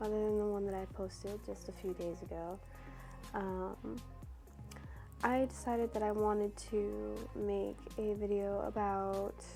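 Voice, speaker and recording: At a fairly slow pace, a woman speaks over music in the background. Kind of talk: personal advice talk about self-worth.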